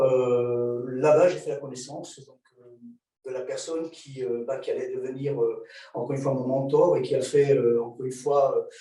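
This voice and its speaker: The speaker keeps a moderate pace while the loudness swings widely, and the room echo is audible. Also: man. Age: 60s. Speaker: martial arts instructor. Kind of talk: lecture. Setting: video call. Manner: halting, many filler sounds.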